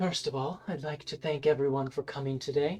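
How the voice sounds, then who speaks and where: In a put-on character voice, a man speaks fairly quickly with fairly even intonation. The voice is husky, breathy and fairly high. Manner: calm, commanding.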